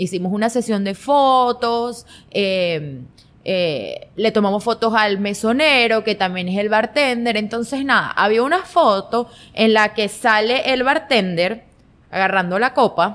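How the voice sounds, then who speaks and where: An ordinary speaking voice from a woman, fairly high in pitch, fairly slow, with ordinary pitch variation. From Venezuela, Guanare. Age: 20s. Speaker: fashion content creator. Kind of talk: casual interview chat.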